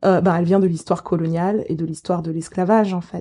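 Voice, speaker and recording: The voice has a dark, mellow tone and moves at a moderate pace over a quiet background. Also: woman. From Geneva, Switzerland. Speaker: political theory lecturer. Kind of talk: interview. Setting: academic office. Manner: hesitant, many fillers.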